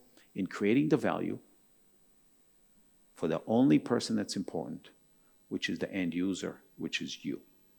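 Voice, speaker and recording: Intonation is lively at a moderate pace. The recording is very clean with a silent background. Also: man. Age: 60s. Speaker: architect. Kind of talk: keynote talk. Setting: stage with audience.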